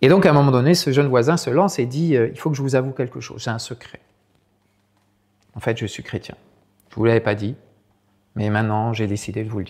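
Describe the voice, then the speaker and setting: A man's medium-pitched voice at a very fast pace, with ordinary pitch variation, big swings in loudness and long, frequent pauses. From France, Sarthe. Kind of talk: talk with storytelling. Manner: hesitant, many repetitions.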